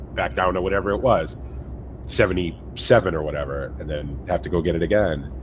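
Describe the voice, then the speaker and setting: A man with a very deep, low pitch speaks fairly quickly in a Massachusetts accent, his intonation lively. Noticeable background noise runs under the voice. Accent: weird Massachusetts. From US Northeast, central Massachusetts. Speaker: gaming streamer. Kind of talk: casual chat.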